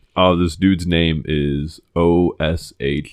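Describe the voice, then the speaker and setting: A man with a very deep, low pitch speaks with vocal fry and fairly even intonation. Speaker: podcast co-host. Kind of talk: casual chat.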